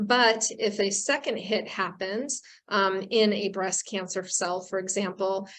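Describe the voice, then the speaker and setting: A woman with an unremarkable speaking voice and a medium pitch talks at a fairly slow pace with fairly even intonation. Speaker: oncologist and professor of medicine. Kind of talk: lecture.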